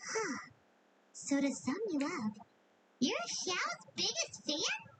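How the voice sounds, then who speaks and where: High-pitched and fairly slow, the put-on character voice swings very widely in pitch. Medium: video game. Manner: casual, wry.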